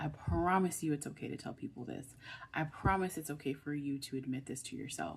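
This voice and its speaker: With vocal fry, a woman speaks at a very deep, low pitch. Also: lively intonation, fairly quick pace. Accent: American. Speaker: online video creator. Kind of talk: motivational talk to camera. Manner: emphatic, repetitive.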